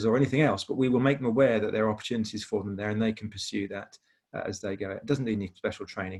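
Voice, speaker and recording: A man with a British accent, medium pitch, ordinary pitch variation and a very fast pace. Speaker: industry charity representative. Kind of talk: webinar presentation.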